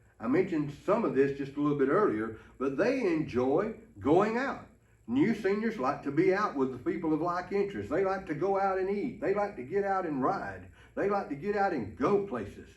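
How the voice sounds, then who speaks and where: A man with a high pitch speaks in an Alabama accent, with audible room echo. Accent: Southern US (Alabama). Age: 60s. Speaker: pastor. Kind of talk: ministry training talk. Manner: folksy, conversational.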